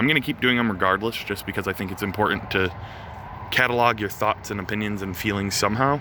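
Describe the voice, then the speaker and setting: Against noticeable background noise, a man with a fairly low voice talks at a fairly quick pace with ordinary pitch variation. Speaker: touring musician vlogger. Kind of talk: casual vlog. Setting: outdoors by a venue. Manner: filler-heavy, stammering.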